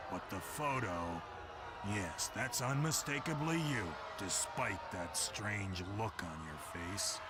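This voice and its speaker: A man puts on a cartoonish character voice at a fairly slow pace. Loud background noise fills the recording. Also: fairly low pitch for a man. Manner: officious, dry.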